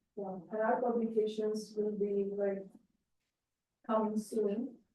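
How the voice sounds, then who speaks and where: In a room with audible echo, a woman speaks very slowly in a monotone, flat delivery with a dark, mellow tone. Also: fairly high pitch for a woman. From India. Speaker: conservation researcher. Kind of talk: Q&A after a talk. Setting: talk night with audience.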